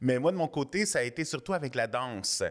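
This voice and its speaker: A man with an ordinary speaking voice at a moderate pace, ordinary pitch variation, and a very clean recording over a silent background. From Quebec (Montreal South Shore, Saint-Hubert). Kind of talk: interview.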